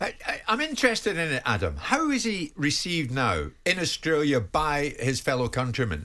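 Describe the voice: This man's fairly high pitch swings very widely, his tone fairly bright.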